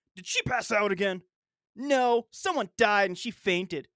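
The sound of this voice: Behind the voice, the background is quiet. The delivery is an unforced reading voice.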